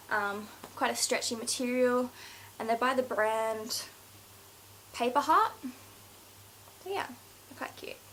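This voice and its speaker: At a very slow pace, a woman speaks at a high pitch with lively intonation. There is noticeable background noise. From Scotland. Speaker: beauty vlogger. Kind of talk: casual haul video monologue. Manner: hesitant, many fillers.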